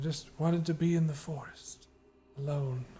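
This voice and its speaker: A man puts on a character voice at a fairly high pitch. His intonation stays monotone and flat at a moderate pace. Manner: sad, withdrawn, wanting solitude.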